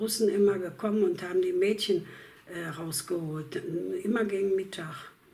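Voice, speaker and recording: Noticeable noise sits behind a woman whose mid-range voice holds fairly level intonation at a moderate tempo. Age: 80s+. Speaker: war refugee. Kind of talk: interview answer. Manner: hesitant, with many fillers.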